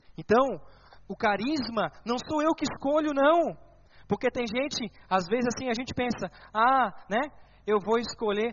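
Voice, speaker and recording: The delivery is animated, with lively intonation at a fairly slow pace and long, frequent pauses. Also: man, extremely high pitch for a man. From southern Brazil, Santa Catarina. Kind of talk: sermon.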